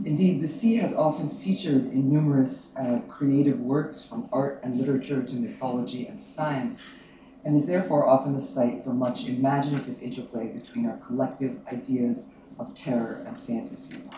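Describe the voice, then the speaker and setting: Moderate-paced speech from a man amid audible room echo and noticeable background noise. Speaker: academic panel organizer. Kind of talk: academic talk. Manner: soft-spoken.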